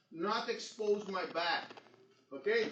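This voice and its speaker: In a room with audible echo, a man with a Portuguese accent speaks at a fairly slow pace. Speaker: jiu-jitsu instructor. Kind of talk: seminar instruction.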